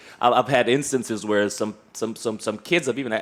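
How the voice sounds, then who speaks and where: The man races along at a very fast pace while noticeable background noise plays. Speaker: podcast host. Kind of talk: casual chat. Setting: studio with live audience.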